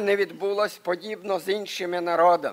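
The background is quiet. A man speaks at a high pitch with fairly even intonation. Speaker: preacher. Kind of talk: sermon. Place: church. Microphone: podium.

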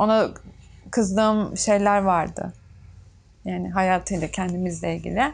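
A woman speaks at a fairly slow pace. She leaves long, frequent pauses. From Turkey, Çanakkale (Bayramiç); Turkey. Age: 20s. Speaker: tailor; interviewee. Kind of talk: documentary interview. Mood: reflective, somewhat emotional. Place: workshop.

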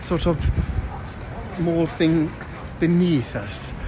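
Noticeable background noise is present. Otherwise the sound is dry, without echo. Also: man. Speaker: vlogger. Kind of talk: casual vlog chat. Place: street. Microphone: phone near.

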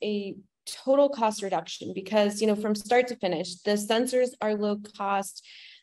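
Against a quiet background, a woman talks at a fairly slow pace. Her intonation is fairly even. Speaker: presenter. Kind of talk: webinar presentation. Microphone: webcam.

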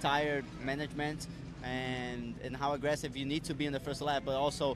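Music in the background accompanies a fairly quick, monotone delivery with flat intonation and a dry sound with no echo. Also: man. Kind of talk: interview answer. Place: street. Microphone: handheld.

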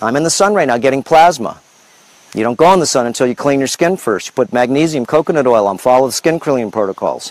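In a dry sound with no echo, a man talks at a very fast pace with an animated tone and lively intonation. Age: 50s. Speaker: health and lifestyle video host; lifestyle video host. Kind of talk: casual livestream monologue. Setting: outdoors on a farm. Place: farm. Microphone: lapel.

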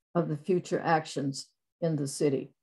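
A woman speaks against a quiet background. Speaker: former mayor. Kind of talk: panel discussion. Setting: video call. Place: home room. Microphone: webcam.

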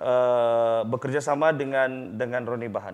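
A man is speaking. His pitch sits in the middle range. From Sabah, Malaysia. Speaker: talk show host. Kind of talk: casual interview. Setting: studio. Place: studio.

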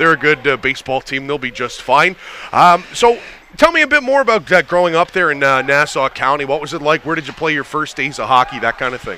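This man has a plain, everyday voice with a fairly high pitch. He talks at a fairly quick pace with ordinary pitch variation. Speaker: sports play-by-play broadcaster and podcast host. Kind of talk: casual interview. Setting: studio.

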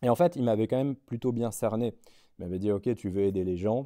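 A man's fairly low, dark, mellow voice with ordinary pitch variation over a quiet background. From France, Lorraine (Nancy); Lorraine, France. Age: 30s. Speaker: finance director; interview guest. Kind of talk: interview. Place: hall.

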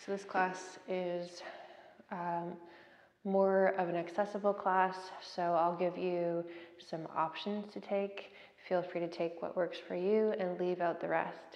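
With audible room echo, a woman speaks in a fairly low pitch and a flat, monotone intonation. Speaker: yoga instructor. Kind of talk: class instruction. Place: empty room. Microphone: camera far.

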